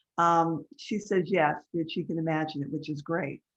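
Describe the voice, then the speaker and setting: Against a quiet background, a woman with an ordinary speaking voice talks fairly slowly at a fairly low pitch. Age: 60s. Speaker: life coach. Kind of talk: webinar class.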